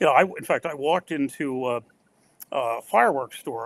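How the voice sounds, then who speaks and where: A man with an American accent speaks at a fairly high pitch with ordinary pitch variation. The sound is dry and close, with no echo. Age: 70s. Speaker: talk show host. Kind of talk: casual chat.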